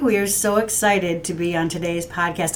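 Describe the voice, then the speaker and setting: A woman talks with ordinary pitch variation. There is noticeable background noise. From Detroit area, Michigan. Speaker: talent agency CEO, former actor. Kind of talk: casual conversational podcast chat. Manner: animated, enthusiastic.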